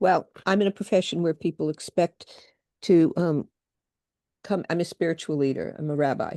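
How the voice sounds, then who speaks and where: A woman with a fairly low pitch and a dark, mellow tone talks at a moderate pace with long, frequent pauses and ordinary pitch variation, in a dry, close sound with no echo. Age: 70s. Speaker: rabbi, audience participant. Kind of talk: casual chat. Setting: video call.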